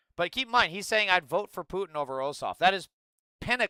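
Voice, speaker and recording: A man with an American accent, high in pitch and very fast, with a bright, sharp tone, a raised, projected voice, lively intonation and an animated delivery, on a dry, close, echo-free and very clean recording with a silent background. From US, Idaho. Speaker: political livestreamer. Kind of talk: livestream political commentary.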